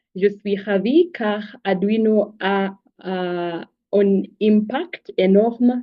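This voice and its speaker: A woman's voice at medium pitch, with ordinary pitch variation. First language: not French (English or Swahili) (speaking French). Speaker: engineering graduate and startup co-founder. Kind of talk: online presentation. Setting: video call. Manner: hesitant, many fillers.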